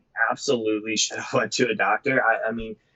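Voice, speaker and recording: With a Midwestern American accent, a man speaks with ordinary pitch variation. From US Midwest, Cleveland, Ohio. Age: 20s. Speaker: motivational speaker and cancer survivor. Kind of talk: casual interview.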